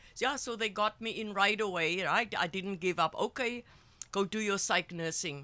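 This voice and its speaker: A woman's bright, sharp, medium-pitched voice at a moderate pace with ordinary pitch variation. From South Africa, Cape Town. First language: Afrikaans. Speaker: psychotherapist and healer. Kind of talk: interview storytelling. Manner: halting.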